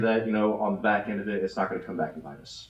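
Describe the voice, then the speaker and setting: The speech races along at a very fast pace against noticeable background noise. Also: man. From Germany. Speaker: city council candidate. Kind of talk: candidate forum answer. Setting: church hall with audience.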